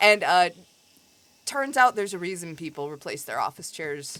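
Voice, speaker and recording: A woman with a Midwestern accent, a fairly low pitch, very wide pitch swings, an animated tone and a bright, sharp sound. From US Midwest. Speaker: video game streamer. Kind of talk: casual chat. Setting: live stream.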